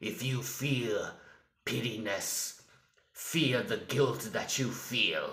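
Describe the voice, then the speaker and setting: This is a put-on character voice with a raspy sound. It moves at a very slow pace. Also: man, medium pitch for a man. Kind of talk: villain monologue. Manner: slow, menacing.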